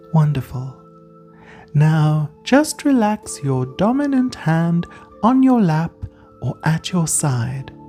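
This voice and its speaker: A woman's calm tone with very wide pitch swings at a very slow pace, music in the background. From South Africa. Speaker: counsellor, podcast host. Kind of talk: guided breathing relaxation. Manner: calm, slow.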